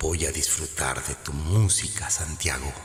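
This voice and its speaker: In a put-on character voice with a menacing tone, a man speaks fairly slowly at a very deep, low pitch, his resonant sound carrying a slight echo over light background noise. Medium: read story. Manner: menacing, seductive.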